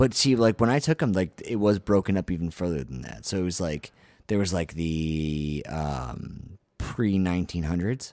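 On a very clean recording with a silent background, a man speaks fairly slowly in a very deep, low voice with lively intonation. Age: 30s. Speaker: podcast co-host. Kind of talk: casual chat.

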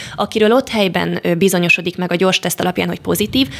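Noticeable background noise beneath a woman's mid-range voice, her intonation fairly even. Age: 20s. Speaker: medical student. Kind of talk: radio interview. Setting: studio.

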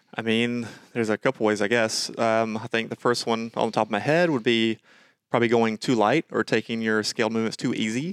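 Speaking at a fairly quick pace, a man uses a normal speaking voice at medium pitch with an American accent. The sound is dry and close with no echo, on a very clean recording with a silent background. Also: fairly even intonation. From Georgia, US. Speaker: fitness coach and podcast co-host. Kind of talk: casual chat.

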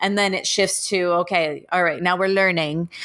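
A monotone, flat delivery in a Canadian accent at a moderate pace, with noticeable background noise. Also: woman. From Toronto, Canada. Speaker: elementary school teacher and podcaster. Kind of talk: interview. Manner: hesitant, many fillers.

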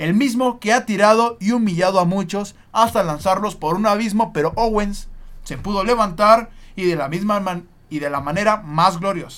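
With a Mexican accent, this man talks at a moderate pace, his high pitch moving with ordinary variation. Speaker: sports podcast host. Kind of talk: casual chat with storytelling.

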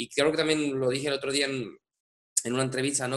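The tone is bright and sharp. A man speaks with a fairly high pitch. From Andalusia, Spain (Seville province). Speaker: musical director. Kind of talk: interview. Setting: home studio. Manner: halting, many repetitions and fillers.

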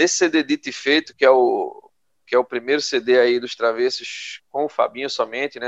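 A man with an unremarkable speaking voice of medium pitch talks at a moderate pace with fairly even intonation, in a dry, close sound with no echo. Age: 30s. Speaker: podcast co-host. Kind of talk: casual chat.

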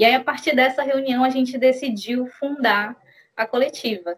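A woman speaks fairly slowly in a high voice with ordinary pitch variation. The sound is dry and close, with no echo. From Brazil, Belém do Pará. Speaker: schoolteacher and feminist activist. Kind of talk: casual interview.

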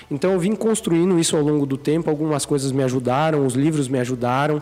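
With ordinary pitch variation and fairly high pitch, a man speaks in an unremarkable speaking voice. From Brazil, Sorocaba (São Paulo state). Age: 20s. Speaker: entrepreneur, clothing brand co-founder. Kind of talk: casual interview chat.

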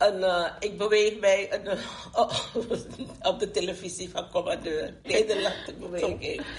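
Over noticeable background noise, a woman of medium pitch speaks fairly slowly with fairly even intonation and long, frequent pauses. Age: 70s. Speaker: grandmother and community activist. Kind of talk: group discussion.

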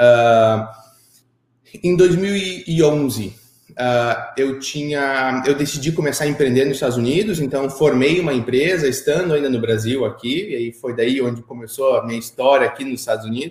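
With ordinary pitch variation and a moderate pace, this is an ordinary speaking voice. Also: man, medium pitch for a man. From Brazil, Curitiba. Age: 30s. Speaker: entrepreneur. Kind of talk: interview.

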